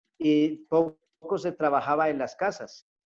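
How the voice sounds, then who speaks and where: Over music in the background, a man with a fairly high pitch talks at a fairly slow pace. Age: 50s. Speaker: pastor. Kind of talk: testimony.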